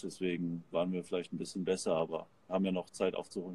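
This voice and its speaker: The man talks with a very deep, low pitch. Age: 20s. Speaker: professional volleyball player. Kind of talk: interview. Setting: remote call from a sports arena.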